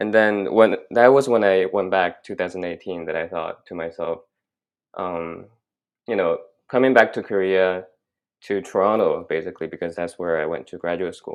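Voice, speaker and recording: In a Chinese accent, a man with a very deep, low pitch speaks at a moderate pace, his loudness swinging widely while his pitch varies in an ordinary way. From China, moved to Canada at 16. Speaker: graduate student. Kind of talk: casual interview chat. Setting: podcast recording. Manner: halting, many fillers.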